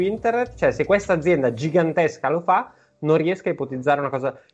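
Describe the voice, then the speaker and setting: Over a quiet background, a man with an unremarkable speaking voice talks at a fairly quick pace, his fairly high pitch carried by lively intonation. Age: 30s. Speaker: podcast co-host. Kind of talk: casual chat.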